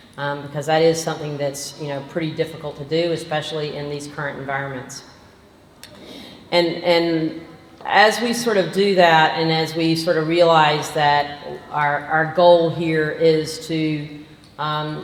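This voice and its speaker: Through audible room echo and noticeable background noise, a woman with a slight Southern US accent speaks at a fairly slow pace in a very deep, low pitch with fairly even intonation. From Georgia, US South. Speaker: physician. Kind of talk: lecture.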